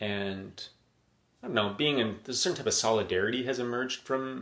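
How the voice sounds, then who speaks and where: Speaking with a Canadian accent, a man keeps a fairly quick pace and ordinary pitch variation. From Edmonton, western Canada. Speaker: emergency physician. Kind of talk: live-stream monologue. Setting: live video stream at home. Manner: casual, halting with repetitions.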